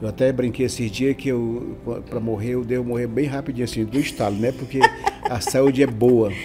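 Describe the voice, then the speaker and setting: Noticeable noise sits in the background. The delivery has monotone, flat intonation. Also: man, medium pitch for a man, moderate pace. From Amazon region, Brazil. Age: 70s. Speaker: pastor and city councillor. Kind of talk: podcast interview. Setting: studio, live stream.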